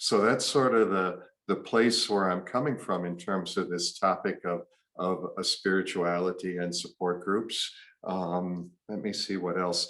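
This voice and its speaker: A man with a very deep, low pitch talks fairly slowly in fairly even intonation. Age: 60s. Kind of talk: talk presentation. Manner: halting, many fillers.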